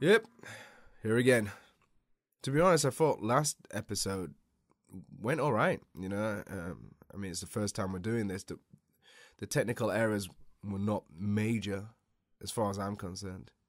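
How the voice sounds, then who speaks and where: A man with a British accent speaks at a moderate pace in a fairly low voice, using ordinary pitch variation, big swings in loudness and long, frequent pauses, on a very clean recording with a silent background and a dry, close sound with no echo. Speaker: jiu-jitsu instructor and podcast host. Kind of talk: casual podcast monologue. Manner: hesitant, with fillers.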